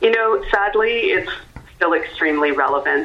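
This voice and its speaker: A woman speaks at a moderate pace with a Canadian accent and ordinary pitch variation. Audible room echo and noticeable background noise surround her voice. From Canada. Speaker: actor and theatre creator. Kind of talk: radio interview. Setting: phone call.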